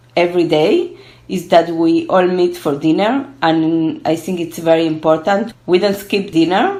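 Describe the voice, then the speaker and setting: Fairly slow speech from a woman with a Spanish accent and a fairly low pitch, in a room with audible echo. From Argentina, then Israel from age twelve. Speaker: gerontology researcher. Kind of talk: interview. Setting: online call from home.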